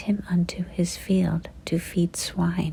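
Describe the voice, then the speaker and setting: The voice is soft-spoken. It comes out as a whisper. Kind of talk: scripture reading, ASMR. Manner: whispered, soft-spoken.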